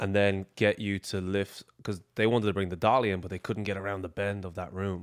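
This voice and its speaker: In a very deep, low voice, a man speaks with an Irish accent and monotone, flat intonation. The recording is very clean with a silent background, dry and close with no echo. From Ireland, Dublin. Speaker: athlete, exercise science graduate. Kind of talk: casual chat.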